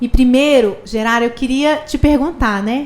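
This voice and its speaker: This is a woman talking. Her pitch moves in an ordinary way. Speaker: podcast host. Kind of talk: podcast interview. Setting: studio. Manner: deliberately slow, measured pace.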